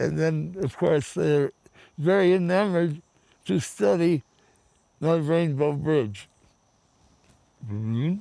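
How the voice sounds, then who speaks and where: Lively in intonation, a man speaks at a very slow pace with long, frequent pauses, and the sound is dry with no echo. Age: 80s+. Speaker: counterculture figure and camp founder. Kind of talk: storytelling to camera. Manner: playful, joyous. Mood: playful, humorous. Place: garden.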